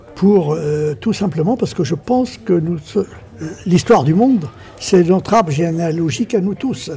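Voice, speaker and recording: Speaking at a fairly slow pace, a man with a high voice uses lively intonation over noticeable background noise. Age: 80s+. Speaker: film director. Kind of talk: interview answer.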